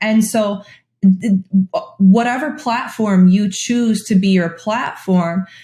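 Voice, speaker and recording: A woman talks at a very slow pace in a somewhat breathy voice. Her intonation stays fairly even. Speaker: career coach. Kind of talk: interview answers. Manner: occasional stumbles over words.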